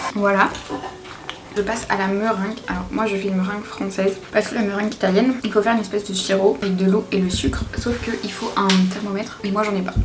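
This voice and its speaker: Over noticeable background noise, a woman speaks very fast at medium pitch in a monotone, flat intonation. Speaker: home cook vlogger. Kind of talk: casual cooking vlog talk to camera. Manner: whispered.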